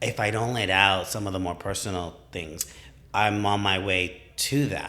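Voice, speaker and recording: Loud and moderately paced, a man speaks with a bright, sharp tone at a fairly low pitch. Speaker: gym client and training partner. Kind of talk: casual chat. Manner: animated.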